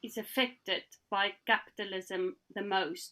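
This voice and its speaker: With a South African accent, a woman speaks in a bright, sharp tone and ordinary pitch variation. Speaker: panelist. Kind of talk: panel discussion.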